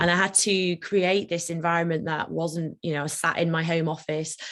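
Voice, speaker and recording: Speaking at a fairly quick pace, a woman with a British accent uses a fairly low pitch and ordinary pitch variation. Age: 30s. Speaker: managing partner of a law firm. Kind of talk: talk on personal experience of ADHD. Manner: fast; fidgety, moving around.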